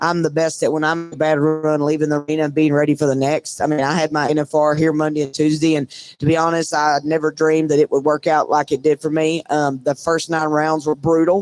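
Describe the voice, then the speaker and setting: A man with a fairly high pitch talks at a fairly quick pace with hardly any pauses and monotone, flat intonation, in a dry, close recording with no echo that is very clean against a silent background. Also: very even loudness. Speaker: breakaway roper. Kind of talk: casual interview. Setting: live from a trade show booth. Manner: loud.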